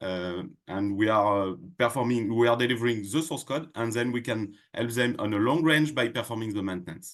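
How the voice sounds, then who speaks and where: Against a quiet background, a man with a French accent speaks at a moderate pace in a medium pitch, with ordinary pitch variation. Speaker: tech company product head. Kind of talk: podcast interview. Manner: halting, many fillers.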